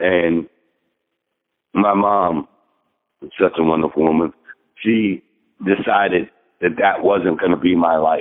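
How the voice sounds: The speech moves at a slow pace with fairly even intonation and long, frequent pauses. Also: man, low pitch for a man.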